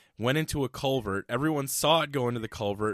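Vocal fry marks a fairly quick delivery with ordinary pitch variation, on a very clean recording with a silent background. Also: man. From Iowa. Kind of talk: casual chat.

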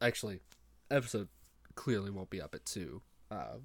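This man's voice sits at a fairly low pitch. Vocal fry runs through it. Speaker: podcast host. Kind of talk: solo monologue. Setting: home recording with headset mic. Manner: fast talker; halting, many fillers and restarts.

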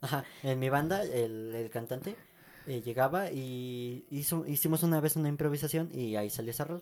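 A fairly high-pitched man with a Mexican accent at a moderate pace, on a very clean recording with a silent background. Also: ordinary pitch variation. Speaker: podcast co-host. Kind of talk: casual chat. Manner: halting.

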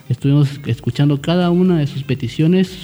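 This man has a normal speaking voice, fairly high pitched with ordinary pitch variation, and talks at a fairly quick pace. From Central Valleys of Oaxaca, Mexico. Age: 20s. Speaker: lawyer and party youth coordinator. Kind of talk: radio interview.

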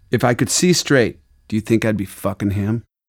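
A man keeps a moderate pace in a very clean recording with a silent background. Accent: American. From Arizona. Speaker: audiobook narrator reading memoir. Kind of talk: reading aloud.

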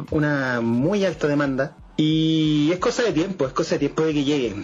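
A man with a Chilean accent speaks at a fairly high pitch. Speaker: podcast co-host. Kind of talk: casual chat.

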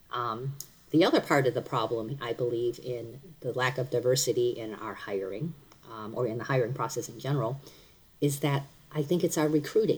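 Somewhat breathy and very deep, a woman's voice moves at a fairly quick pace with ordinary pitch variation. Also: big swings in loudness. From US Midwest, Cleveland. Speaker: workplace leader. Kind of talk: casual interview.

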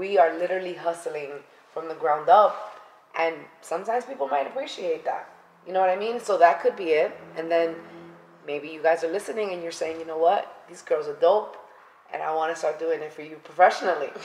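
A woman with a New York accent speaks at a fairly quick pace, with ordinary pitch variation and big swings in loudness. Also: fairly low pitch for a woman. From New York City (Bronx). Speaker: podcast co-host. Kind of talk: casual chat. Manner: animated.

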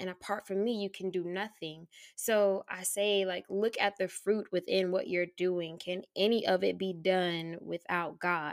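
A woman's medium-pitched voice with an American accent, fairly slow and monotone with flat intonation, hardly any pauses, in a very clean recording with a silent background. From Florida, Tallahassee. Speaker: podcaster and faith encourager. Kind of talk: casual interview chat.

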